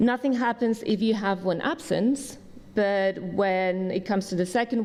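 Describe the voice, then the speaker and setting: A woman with an ordinary speaking voice talks at a moderate pace, her medium pitch showing ordinary variation. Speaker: summer school staff member. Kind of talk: orientation briefing.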